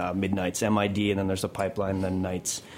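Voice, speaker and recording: A man with a fairly low pitch talks while noticeable background noise runs behind him. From Caribbean. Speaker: restaurant co-owner. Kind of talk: casual interview. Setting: studio.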